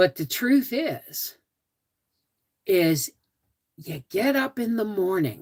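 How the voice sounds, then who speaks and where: Somewhat breathy, a woman's voice makes very wide pitch swings at a very slow pace. Long, frequent pauses break up her speech, and the sound is dry and close with no echo. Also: medium pitch for a woman. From Toronto, Canada. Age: 60s. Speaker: homesteading livestreamer. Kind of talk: live stream chat with viewers. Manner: casual, repetitive.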